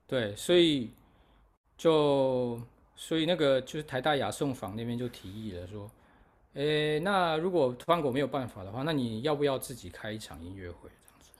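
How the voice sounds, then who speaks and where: This man has an unremarkable speaking voice of medium pitch and talks at a moderate pace. His intonation is lively, and his loudness swings widely. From Taiwan. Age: 40s. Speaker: musician and festival organizer. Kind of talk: casual interview chat. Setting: remote call from overseas.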